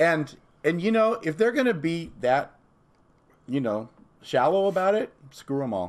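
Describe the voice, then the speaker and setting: A man with a high pitch for a man, very wide pitch swings, a fairly slow pace and long, frequent pauses. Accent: American. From Southern California. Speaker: priest. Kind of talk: casual chat. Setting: in a home.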